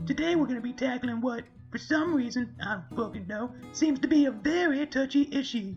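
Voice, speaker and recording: In a cartoonish character voice, a female-sounding speaker talks at a moderate pace with an energetic tone and high pitch while clear music plays behind. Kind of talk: comedic satirical rant to camera. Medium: puppet. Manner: zany, energetic.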